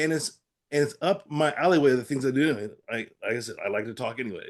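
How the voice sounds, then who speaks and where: A man with an American accent speaks at a very fast pace in a fairly high pitch. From Pittsburgh area, Pennsylvania. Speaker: stroke survivor with aphasia, advocate. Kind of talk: interview. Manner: halting, with word-finding trouble and repetitions.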